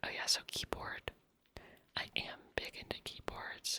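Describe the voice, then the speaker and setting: A woman whispers at a fairly slow pace. The sound is dry and close with no echo, though noticeable background noise is present. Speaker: ASMR creator. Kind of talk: casual talk to camera, Q&A. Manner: whispering.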